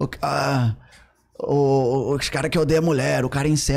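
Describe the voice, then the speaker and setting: A man's voice with ordinary pitch variation. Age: 40s. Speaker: podcast guest. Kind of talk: casual chat. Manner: halting. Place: studio. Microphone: studio mic.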